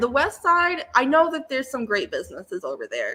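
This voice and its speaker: With an American accent, a woman speaks in a raised, projected voice with a bright, sharp tone, very wide pitch swings and a fairly quick pace. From Lansing, Michigan. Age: 20s. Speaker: small business owner and maker. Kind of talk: interview answer.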